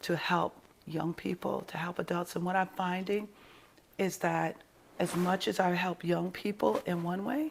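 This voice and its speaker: In a New York accent, a woman with a fairly low pitch and vocal fry talks at a fairly slow pace with ordinary pitch variation. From New York (Brooklyn). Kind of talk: interview.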